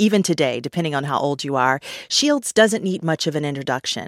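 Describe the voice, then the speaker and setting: On a very clean recording with a silent background, a woman speaks with very deep, low pitch in a dry, close sound with no echo. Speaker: interviewer. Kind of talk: interview.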